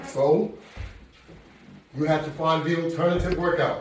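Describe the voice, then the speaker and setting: With audible room echo and noticeable background noise, a man speaks at a moderate pace in a high pitch. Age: 70s. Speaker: fitness instructor. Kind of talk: workout tutorial. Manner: conversational, encouraging.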